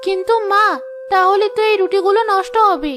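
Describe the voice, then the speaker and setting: A cartoonish character voice at a moderate pace with ordinary pitch variation, faint music in the background. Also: woman, extremely high pitch for a woman. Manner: soft, submissive.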